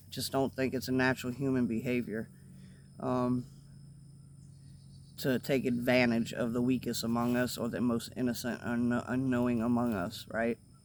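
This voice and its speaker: A man with an American accent talks at medium pitch and a moderate pace. His intonation is monotone and flat, with long, frequent pauses. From US South. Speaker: vlogger. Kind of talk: casual video monologue. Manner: halting, repeats words.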